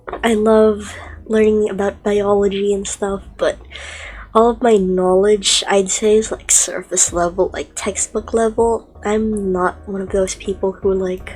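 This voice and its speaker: Against noticeable background noise, a woman speaks at a fairly slow pace and medium pitch with monotone, flat intonation. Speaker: streamer hosting a casual talk series. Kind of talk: casual solo chat. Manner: halting, many fillers. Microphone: poor audio settings.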